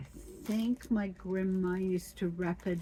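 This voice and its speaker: A woman speaks at a very slow pace. Her tone is dark and mellow, and somewhat breathy. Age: 70s. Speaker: cement garden artist. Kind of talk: casual craft tutorial talk.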